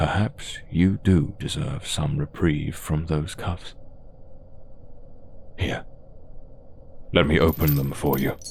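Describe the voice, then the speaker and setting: With clear background noise behind him, a man puts on a character voice of very deep, low pitch, talking at a fairly slow pace with long, frequent pauses. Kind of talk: m4m ASMR roleplay. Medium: audio drama. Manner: slow, commanding, seductive.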